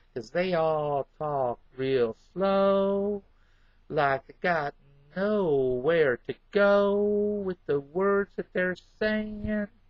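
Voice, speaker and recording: Speech in an American accent comes at a very slow pace with lively intonation. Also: man, high pitch for a man. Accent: southern accent, per others. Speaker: vlogger. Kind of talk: casual monologue. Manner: joking, animated.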